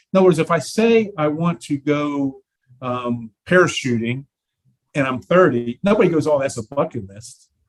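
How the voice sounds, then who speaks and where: A man speaks at a moderate pace in a plain, everyday voice, his intonation lively and his loudness swinging widely, recorded dry and close with no echo. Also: fairly high pitch for a man. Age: 60s. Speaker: prosthetics practitioner and life coach. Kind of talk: casual chat.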